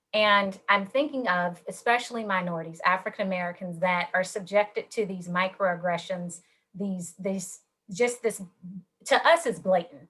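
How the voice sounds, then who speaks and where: A woman talks at a medium pitch in an ordinary speaking voice. Her pace is moderate, with ordinary pitch variation. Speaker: panelist. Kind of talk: panel discussion.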